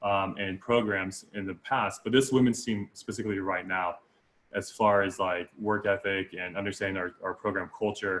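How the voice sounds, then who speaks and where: A man at a fairly low pitch and moderate pace, in a monotone, flat intonation. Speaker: college water polo coach. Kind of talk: casual chat. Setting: podcast. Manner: halting.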